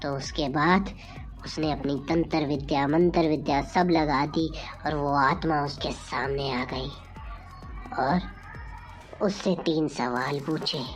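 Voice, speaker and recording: A cartoonish character voice speaks at a low-to-middle pitch over clear music in the background. The pace is fairly slow, with long, frequent pauses. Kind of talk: comic horror storytelling. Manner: dramatic, suspenseful.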